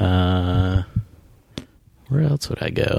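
Speaking with an American accent, a man has a dark, mellow tone. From US Northeast, Vermont. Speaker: animation writer and novelist. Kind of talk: casual interview chat.

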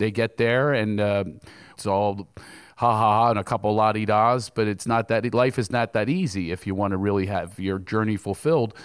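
On a very clean recording with a silent background, a man with a plain, everyday voice talks at a moderate pace and a fairly low pitch. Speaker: comedian. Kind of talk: comedic interview on stage. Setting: stage with audience.

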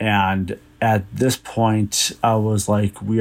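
Speaking with a Minnesota accent, a man uses a fairly low pitch and monotone, flat intonation. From Minnesota, US. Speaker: listener sending in a story. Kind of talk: recorded personal story.

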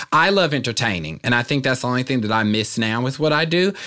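In a very clean recording with a silent background, a man with an American accent talks at a very fast pace in a bright, sharp tone. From Kansas City area, US Midwest. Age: 20s. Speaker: internet comedian and TV correspondent. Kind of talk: casual interview chat.

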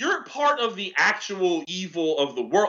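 A man with an American accent, high in pitch, with very wide pitch swings. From upstate New York. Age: 40s. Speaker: comedian. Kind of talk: casual chat. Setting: studio.

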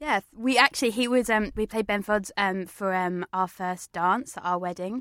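Ordinary pitch variation and a moderate pace in an English accent, on a very clean recording with a silent background. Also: woman, medium pitch for a woman. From England. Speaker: comedian.

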